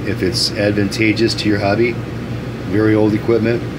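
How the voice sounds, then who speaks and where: A man talks at a moderate pace. Noticeable background noise runs behind him. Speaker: radio repair technician. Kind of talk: casual product demonstration talk. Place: workshop. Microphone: phone near.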